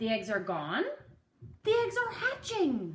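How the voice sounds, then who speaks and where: A female-sounding voice uses a put-on character voice at a fairly slow pace. The sound has an audible echo. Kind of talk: bedtime story. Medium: read story. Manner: calm, matter-of-fact.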